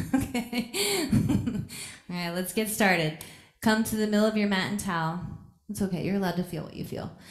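A woman talks at a very fast pace yet leaves long, frequent pauses, with ordinary pitch variation and audible room echo. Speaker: yoga teacher. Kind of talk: casual chat with class. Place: gym.

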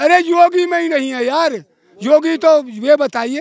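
A man at a fairly slow pace, in a dry sound with no echo. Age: 70s. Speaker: farmer at a protest; interviewee. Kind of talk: street interview. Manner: animated. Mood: angry political criticism. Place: street. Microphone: handheld.

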